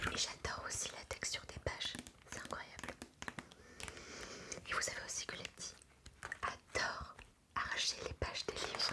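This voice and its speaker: A woman is whispering at a moderate pace. Long, frequent pauses break up her words over noticeable background noise. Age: 20s. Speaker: ASMR creator. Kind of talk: casual talk to camera, relaxing intro.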